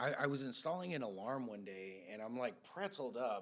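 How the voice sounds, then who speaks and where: This man has a plain, everyday voice and an American accent. He speaks at a moderate pace and medium pitch with lively intonation. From California, Santa Cruz area. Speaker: podcast host. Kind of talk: casual chat.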